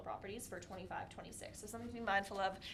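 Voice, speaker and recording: Audible room echo surrounds a woman of medium pitch. She speaks very fast with fairly even intonation. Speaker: municipal finance staff. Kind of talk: budget presentation. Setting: council meeting.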